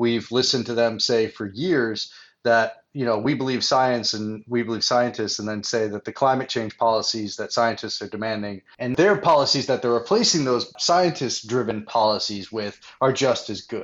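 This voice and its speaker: A man speaks at a moderate pace with hardly any pauses, his pitch medium. He has an ordinary speaking voice with ordinary pitch variation. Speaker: podcast co-host. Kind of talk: casual chat.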